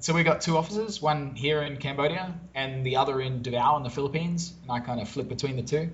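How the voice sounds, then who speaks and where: With an Australian accent, a man speaks very fast with hardly any pauses, his somewhat breathy voice fairly high in pitch with ordinary pitch variation, and audible room echo around him. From Australia, Brisbane. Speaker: SEO business owner. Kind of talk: interview conversation.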